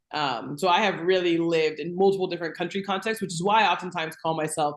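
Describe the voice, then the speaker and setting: A plain, everyday voice, its pitch varying in an ordinary way. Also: woman. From US, moved often (Texas, Louisiana, California). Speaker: TV host, guest on podcast. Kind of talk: interview, personal story.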